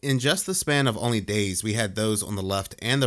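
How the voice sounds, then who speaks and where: In a very clean recording with a silent background, a man with a New Jersey accent speaks at a fairly low pitch, with ordinary pitch variation and a moderate pace. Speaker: conspiracy commentary youtuber. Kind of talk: video commentary.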